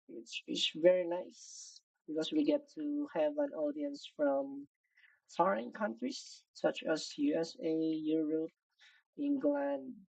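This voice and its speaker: The speech moves at a very slow pace, with very wide pitch swings. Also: woman, fairly high pitch for a woman. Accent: non-native. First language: not English. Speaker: digital artist streaming. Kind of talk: live stream drawing commentary. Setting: live stream. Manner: casual, thinking aloud.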